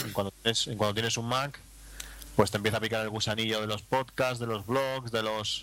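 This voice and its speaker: A man talks at a very fast pace. His tone is bright and sharp, and his intonation is fairly even. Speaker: podcaster. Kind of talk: casual chat.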